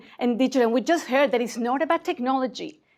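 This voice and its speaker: A woman's high-pitched voice in a slight Mexican accent, with ordinary pitch variation. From Mexico, Mexico City. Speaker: conference speaker, innovation community leader. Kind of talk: conference talk. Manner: hesitant fillers.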